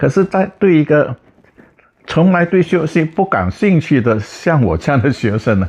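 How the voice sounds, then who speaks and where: At a fairly slow pace, a man's voice makes very wide pitch swings. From Indonesia. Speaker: physicist, professor. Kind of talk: interview answer. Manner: plainspoken, humorous.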